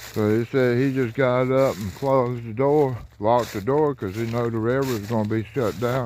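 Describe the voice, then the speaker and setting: At a moderate pace, a man talks in a medium pitch with ordinary pitch variation, with noticeable background noise behind him. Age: 60s. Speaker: railfan vlogger. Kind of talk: casual walking vlog narration. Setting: outdoors.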